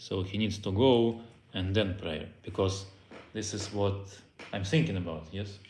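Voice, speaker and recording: Speaking in a Russian accent, a man uses a fairly low, somewhat breathy voice. There is audible room echo, and he leaves long, frequent pauses. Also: ordinary pitch variation, fairly slow pace. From Belarus. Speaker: Torah teacher. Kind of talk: lecture. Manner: halting.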